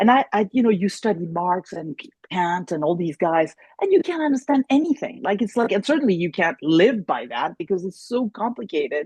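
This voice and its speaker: A woman talks fairly quickly in a somewhat breathy, animated voice with very wide pitch swings. The sound is dry and close, with no echo. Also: medium pitch for a woman. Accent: German. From France, Paris. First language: German. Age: 60s. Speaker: therapist. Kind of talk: interview.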